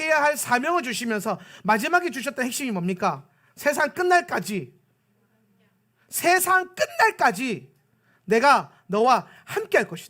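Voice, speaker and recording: A man's raised, projected voice at extremely high pitch, bright and sharp in tone, in a Gyeongsang accent, with lively intonation and a moderate pace, on a very clean recording with a silent background. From South Korea, Pohang (Gyeongsang). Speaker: pastor. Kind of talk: sermon.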